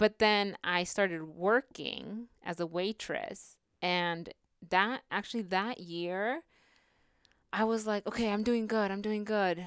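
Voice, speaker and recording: A woman speaks very slowly with an American accent and ordinary pitch variation. The recording is very clean and dry, close, with no echo and a silent background. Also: medium pitch for a woman. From California Central Valley. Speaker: immigrant rights educator. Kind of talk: interview.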